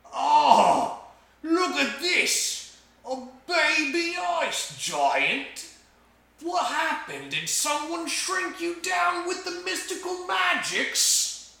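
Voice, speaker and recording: Putting on a character voice, a man speaks at a very slow pace and an extremely high pitch, with slight echo. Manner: mocking, teasing.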